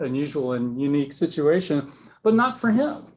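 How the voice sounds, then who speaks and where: With a normal speaking voice, a man talks at a fairly high pitch and a moderate pace, using lively intonation. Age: 50s. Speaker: speaker at a reader society gathering. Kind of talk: speech to a live audience. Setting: meeting room with audience.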